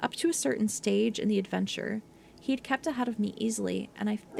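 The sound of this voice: Reading in an unforced voice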